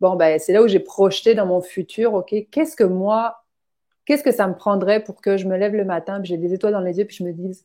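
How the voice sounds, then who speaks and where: This woman talks at a fairly quick pace in a medium pitch. Her tone is dark and mellow, with ordinary pitch variation. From outside Quebec, immigrant. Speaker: finance coach. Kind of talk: casual interview chat. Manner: animated, many fillers.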